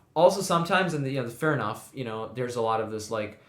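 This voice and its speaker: A man at a very fast pace, medium in pitch, with audible room echo. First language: not English. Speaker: podcast co-host. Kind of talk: casual chat.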